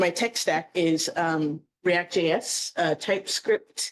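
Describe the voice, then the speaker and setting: The woman's voice is fairly low in pitch. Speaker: coding bootcamp graduate presenting a project. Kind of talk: project demo presentation. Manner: hesitant, many filler words.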